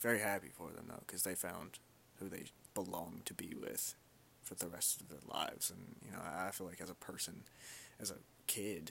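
Speaking at a moderate pace, a man has a very deep, low pitch and a bright, sharp tone. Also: ordinary pitch variation. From Kentucky, Louisville. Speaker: podcaster. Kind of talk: solo casual monologue. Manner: halting, stuttering.

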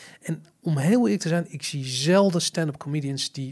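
The speaker sounds somewhat breathy, using lively intonation at a moderate pace. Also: man. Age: 40s. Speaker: podcast host. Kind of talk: casual chat. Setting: studio. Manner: stammering, repeats words.

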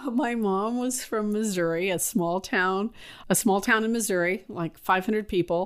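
A woman with a Californian accent at a moderate pace, medium in pitch, on a very clean recording with a silent background. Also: ordinary pitch variation. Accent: Californian American. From US West Coast, San Francisco. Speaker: school administrator. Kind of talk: interview.

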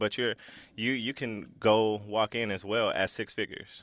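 A man with a fairly low voice talks at a very slow pace. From South Central Los Angeles. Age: 30s. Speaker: graphic designer and creative director. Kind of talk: casual interview. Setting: radio studio.

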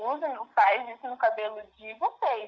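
A woman's fairly high voice unfolds at a very slow pace. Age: 20s. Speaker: recent business graduate. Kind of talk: interview.

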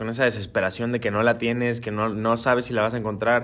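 A man speaks in an ordinary speaking voice. His pitch is medium and his pace fairly quick. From Guadalajara, Mexico. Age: young. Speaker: singer-songwriter. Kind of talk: interview.

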